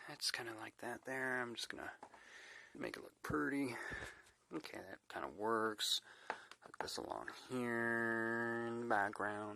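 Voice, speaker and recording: A man's medium-pitched voice at a very slow pace, with fairly even intonation. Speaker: DIY hobbyist. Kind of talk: casual DIY repair video talk to camera. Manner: whispered.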